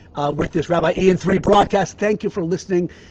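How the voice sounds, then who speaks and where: Noticeable background noise sits behind a man with a high pitch. He talks at a moderate pace with fairly even intonation. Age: 60s. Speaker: rabbi, podcast host. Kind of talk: birthday blessing talk, religious teaching. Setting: outdoors. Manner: some halting, self-correcting.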